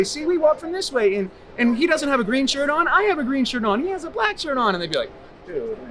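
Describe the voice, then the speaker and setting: Against noticeable background noise, the speaker talks at a very fast pace with an American accent and very wide pitch swings. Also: man, extremely high pitch for a man. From Massachusetts. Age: 40s. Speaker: homeless man. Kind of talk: street interview answer. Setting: outdoors. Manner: enthusiastic, passionate.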